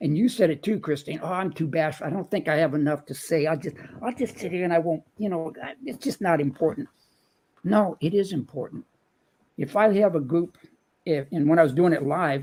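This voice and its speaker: Moving at a fairly quick pace, a man speaks in a dark, mellow tone with lively intonation. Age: 70s. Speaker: motivational speaker and author. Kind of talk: casual chat. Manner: animated.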